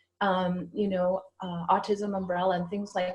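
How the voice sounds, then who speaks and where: A woman with a Canadian accent speaks in a somewhat breathy voice. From Canada, Ottawa. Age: 60s. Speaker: psychic medium. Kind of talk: interview.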